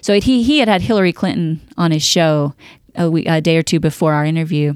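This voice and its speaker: This is a woman speaking. Her pitch sits fairly low for a woman. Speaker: magazine publisher. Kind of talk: casual interview.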